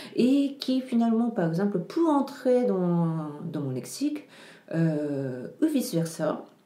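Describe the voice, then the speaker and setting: A woman at a medium pitch talks at a very slow pace with very wide pitch swings, against noticeable background noise. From Japan (Tokyo). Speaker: writer and translator. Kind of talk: interview. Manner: halting, many hesitations.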